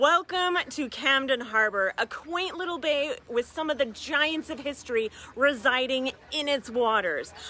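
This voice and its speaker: A woman speaks in a raised, projected voice with lively intonation. The sound is dry, with no echo. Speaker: travel vlogger. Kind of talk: casual vlog chat. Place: waterside. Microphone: phone near.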